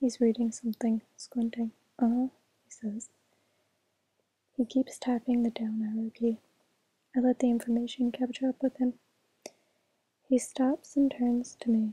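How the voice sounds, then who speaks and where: Whispering and soft-spoken, a woman talks at a fairly slow pace with long, frequent pauses. Her voice sounds dry and close, with no echo. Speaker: ASMR reader. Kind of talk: audiobook-style reading, ASMR. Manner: soft-spoken, whispery, relaxing.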